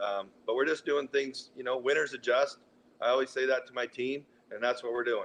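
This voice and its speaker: Fairly even intonation at a fairly quick pace. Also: man. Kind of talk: interview. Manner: loud, projecting voice.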